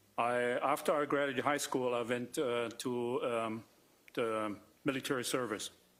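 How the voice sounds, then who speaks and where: Spoken with a German accent, this voice keeps a moderate pace and very even loudness. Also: man, medium pitch for a man, fairly even intonation. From East Germany. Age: 60s. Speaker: doctor testifying at trial. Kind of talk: witness testimony. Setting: courtroom. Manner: halting.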